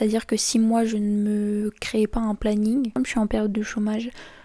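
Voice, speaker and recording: A woman with a fairly high, somewhat breathy voice and a dark, mellow tone speaks in a flat monotone over a very clean recording with a silent background. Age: 20s. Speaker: YouTuber. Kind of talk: casual chat. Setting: face-cam video at home.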